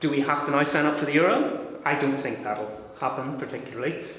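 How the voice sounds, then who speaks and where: A man with a non-native accent talks at a fairly quick pace with lively intonation, amid noticeable background noise and audible room echo. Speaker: audience member. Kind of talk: audience question at debate. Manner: halting.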